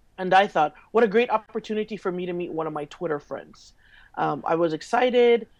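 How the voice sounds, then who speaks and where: A woman of medium pitch talks with a Hawaiian accent and lively intonation. Her loudness swings widely, and the background is quiet. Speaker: social media consultant. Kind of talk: interview. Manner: halting, many fillers.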